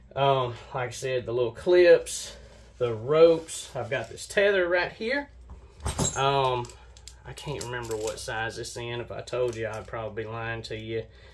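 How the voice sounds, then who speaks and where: Background noise is noticeable as a man speaks in a medium pitch. His loudness swings widely. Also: ordinary pitch variation, moderate pace. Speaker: bowhunting gear YouTuber. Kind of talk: gear review tutorial.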